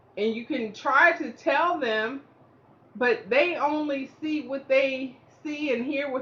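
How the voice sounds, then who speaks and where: The voice is raised and projected. It moves at a very slow pace. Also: woman. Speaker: stroke survivor sharing motivational talk. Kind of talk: casual motivational monologue. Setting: indoors at home. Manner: halting, effortful speech; fluctuating volume, can sound snippy or loud.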